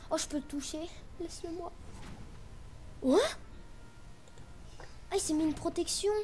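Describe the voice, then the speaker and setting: Very slow delivery with long, frequent pauses, fairly even intonation and big swings in loudness. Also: woman, extremely high pitch for a woman. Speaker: gaming youtuber. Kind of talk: gameplay commentary.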